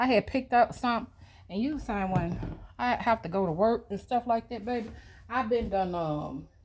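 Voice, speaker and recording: Her voice is a plain, everyday voice, with lively intonation. The woman speaks at a moderate pace. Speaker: lifestyle vlogger. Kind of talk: casual get-ready-with-me vlog. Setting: at home.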